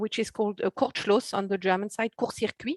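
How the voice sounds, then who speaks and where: A woman with a French accent speaks with fairly even intonation in a dry, close sound with no echo. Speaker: TV short film buyer. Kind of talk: panel discussion. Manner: hesitant, repeating words.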